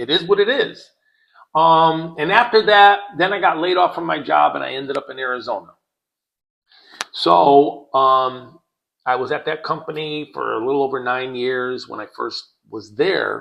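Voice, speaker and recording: With an American accent, a man speaks in an ordinary speaking voice at fairly high pitch and a moderate pace. His intonation is lively, and his loudness swings widely. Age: 60s. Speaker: podcast co-host. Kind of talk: casual chat.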